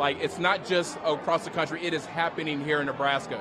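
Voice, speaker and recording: A man talks at a very fast pace in a fairly high pitch. Noticeable background noise and audible room echo surround him. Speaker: political candidate. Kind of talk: interview. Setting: live watch party event. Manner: energetic; lowered voice.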